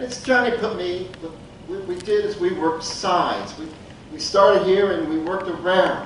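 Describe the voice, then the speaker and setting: A man speaks at a high pitch. Audible room echo and noticeable background noise surround him. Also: fairly even intonation, moderate pace, big swings in loudness. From Appalachia. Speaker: storyteller. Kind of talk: storytelling.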